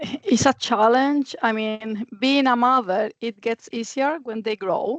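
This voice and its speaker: In a Spanish accent, a woman with a fairly high pitch speaks at a very slow pace with hardly any pauses and ordinary pitch variation, the sound dry and close with no echo. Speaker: architect. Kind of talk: panel discussion.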